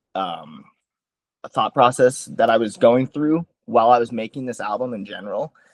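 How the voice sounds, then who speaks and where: With lively intonation and a fairly slow pace, a man speaks at a medium pitch in a dry, close sound with no echo. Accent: American. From US Midwest, Sioux Falls, South Dakota. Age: 20s. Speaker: musician. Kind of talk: interview. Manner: casual, hesitant with fillers.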